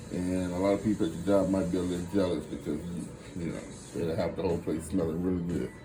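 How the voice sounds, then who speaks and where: In a Louisiana accent, a man speaks with a dark, mellow tone amid audible room echo. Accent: Louisiana Southern US. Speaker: home cook, cooking channel host. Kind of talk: cooking tutorial. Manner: casual, conversational.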